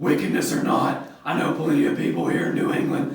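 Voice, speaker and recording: Using a raspy, put-on character voice, a man talks at a fairly quick pace with a slight echo. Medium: short film. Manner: sly, mocking.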